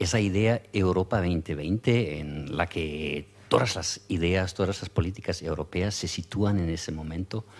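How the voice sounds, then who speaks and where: Recorded very cleanly against a silent background, a man speaks with a very deep, low pitch and ordinary pitch variation. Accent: German. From Germany. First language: German (speaking Spanish). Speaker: EU official. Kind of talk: conference talk. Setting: conference with audience. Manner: hesitant, many fillers.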